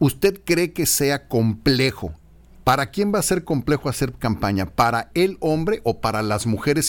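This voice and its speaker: Vocal fry colors a man's moderately paced speech. His pitch moves across a very wide range. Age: 50s. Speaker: radio host. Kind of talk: radio interview. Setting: studio.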